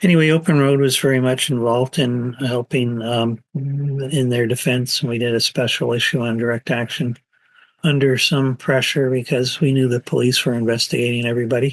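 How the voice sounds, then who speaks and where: Here is a man with a normal speaking voice at a medium pitch, keeping a moderate pace. His loudness stays very even and his intonation fairly even. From Canada. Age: 60s. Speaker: anarchist writer and activist. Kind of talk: interview answer.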